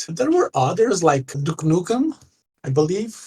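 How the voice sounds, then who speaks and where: A man with a Portuguese accent speaks in a high-pitched voice, recorded with a dry, close sound and no echo. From Portugal. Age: 30s. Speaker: gamer. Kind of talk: interview. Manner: halting.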